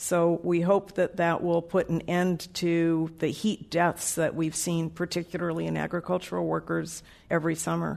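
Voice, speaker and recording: Monotone, flat delivery at a moderate pace against a quiet background. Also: woman, fairly low pitch for a woman. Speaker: public health center director. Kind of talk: panel discussion before a live audience. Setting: stage with audience.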